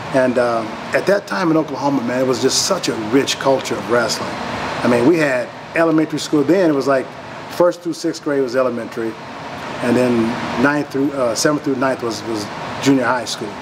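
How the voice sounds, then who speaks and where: A man talks at a fairly quick pace, his pitch varying in an ordinary way, with noticeable background noise around him. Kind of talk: interview answer. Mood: relaxed, warm.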